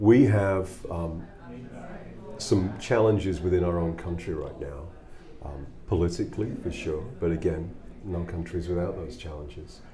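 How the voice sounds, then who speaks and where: A man with a very deep, low voice speaks with big swings in loudness and long, frequent pauses, amid audible room echo and noticeable background noise. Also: ordinary pitch variation, moderate pace. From England. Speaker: musician with a corporate job. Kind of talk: interview.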